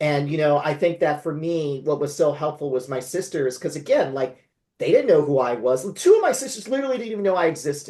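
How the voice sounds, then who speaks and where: This man speaks at a very fast pace in a fairly high, somewhat breathy voice with ordinary pitch variation. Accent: West Coast US. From California. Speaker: memoir author. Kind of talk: interview conversation.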